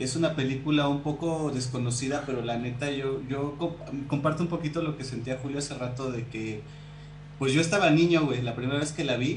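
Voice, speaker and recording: Amid noticeable background noise and audible room echo, a man talks fairly quickly at a fairly high pitch with fairly even intonation. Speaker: podcast co-host. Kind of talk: casual chat.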